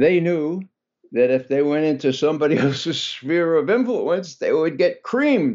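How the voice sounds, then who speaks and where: Lively intonation marks this man's normal speaking voice. His pace is moderate. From US Northeast, New York City (Bronx). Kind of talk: radio interview.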